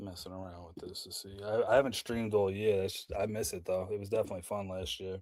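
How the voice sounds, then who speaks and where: A man's dark, mellow tone at a fairly quick pace, on a very clean recording with a silent background. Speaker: livestreamer running fantasy football draft. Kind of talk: live stream commentary. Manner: fast; casual.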